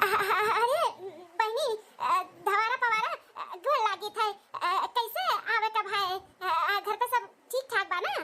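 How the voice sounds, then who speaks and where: In a cartoonish character voice at an extremely high pitch, a woman speaks at a moderate pace with ordinary pitch variation and long, frequent pauses. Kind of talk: rustic cartoon comedy. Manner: homely, exclamatory.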